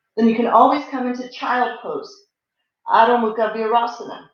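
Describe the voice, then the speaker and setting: Audible room echo surrounds a woman speaking at a fairly high pitch. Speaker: yoga teacher. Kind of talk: guided yoga class. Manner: calm, instructive.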